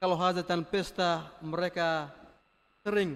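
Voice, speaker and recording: A man's fairly slow, high-pitched speech in a Flores accent. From Flores, eastern Indonesia. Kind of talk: homily. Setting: church.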